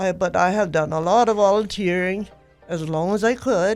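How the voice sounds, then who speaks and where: Speech comes at a moderate pace. Music plays in the background. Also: woman. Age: 80s+. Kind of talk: interview answer.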